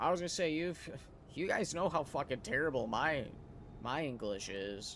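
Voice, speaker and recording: A man's fairly high voice with vocal fry, very wide pitch swings, a moderate pace and an American accent. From US, Wisconsin. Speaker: gaming streamer. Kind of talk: casual chat. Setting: live stream. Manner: casual, filler-heavy.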